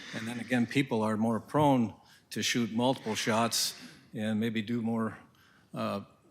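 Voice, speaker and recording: A man with an Upper Midwest accent talks at a moderate pace and medium pitch, his intonation fairly even. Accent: Upper Midwest (Minnesota). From northern Minnesota. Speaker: hunter and landowner speaking at public forum. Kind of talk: public comment at county board meeting. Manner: halting, many fillers.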